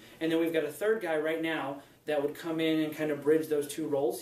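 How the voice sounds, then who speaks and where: A man's fairly high voice at a very fast pace, with audible room echo and noticeable background noise. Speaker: startup founder. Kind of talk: sales pitch.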